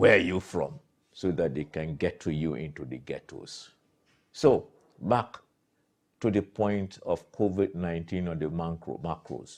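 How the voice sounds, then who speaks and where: The voice has vocal fry. Pauses are long and frequent. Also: man, very deep, low pitch for a man, ordinary pitch variation. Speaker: political commentator. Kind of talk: commentary monologue. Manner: animated.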